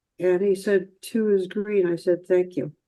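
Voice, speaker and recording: Dark and mellow in tone, a woman talks with an American accent. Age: 80s+. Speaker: artist with synesthesia. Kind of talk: interview.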